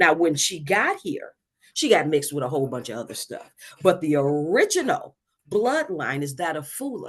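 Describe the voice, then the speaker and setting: Animated woman's voice, fairly low in pitch, with lively intonation, a moderate pace and big swings in loudness. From US Midwest, Detroit. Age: 60s. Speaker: retired teacher and expat. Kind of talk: podcast interview.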